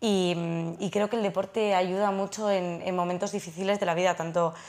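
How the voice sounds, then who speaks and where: The intonation of the woman is fairly even. She keeps a moderate pace. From Spain, Navarre (Pamplona); Navarre, Spain. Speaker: trail runner and lawyer; lawyer. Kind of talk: studio interview. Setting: studio. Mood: relaxed, friendly. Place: studio. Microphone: lapel.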